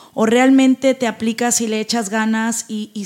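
The woman's voice is high in pitch. Her intonation is fairly even throughout. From Mexico, northern Veracruz (Tamiagua). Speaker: entrepreneur and motivational speaker. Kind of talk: interview.

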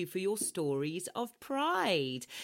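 On a very clean recording with a silent background, a woman speaks fairly slowly with very wide pitch swings. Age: 40s. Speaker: podcast host. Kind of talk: casual chat. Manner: animated.

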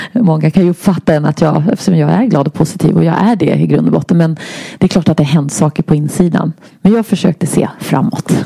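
Speech comes at a very fast pace with very even loudness. The sound is dry and close with no echo, and there is noticeable background noise. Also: woman, fairly low pitch for a woman, ordinary pitch variation. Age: 50s. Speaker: health inspirer and public speaker. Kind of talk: interview, personal illness testimony.

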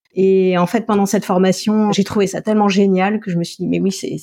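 Speaking at a fairly quick pace, a woman uses a medium pitch and a dark, mellow tone with fairly even intonation. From France, Alsace. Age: 40s. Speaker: naturopath and nutritionist. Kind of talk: interview.

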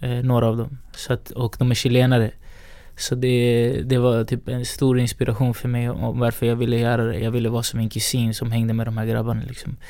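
A man's medium-pitched, monotone voice with flat intonation at a fairly quick pace. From Sweden, Rinkeby (Stockholm). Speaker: hip-hop artist and music entrepreneur. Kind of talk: casual interview.

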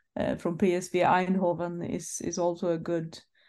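Over a quiet background, a woman with a Swedish accent talks at a fairly slow pace in a fairly low pitch with monotone, flat intonation. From Sweden. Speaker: football journalist and club press manager. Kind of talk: casual chat.

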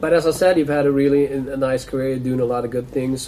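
Over noticeable background noise, a man speaks at a medium pitch with a Swedish accent. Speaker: sports podcast host. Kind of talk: casual interview.

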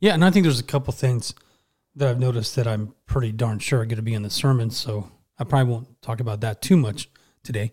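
A man with an American accent speaks at a medium pitch in a somewhat breathy voice, recorded very cleanly against a silent background. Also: ordinary pitch variation. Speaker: podcast host. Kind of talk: casual Bible study chat. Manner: fast.

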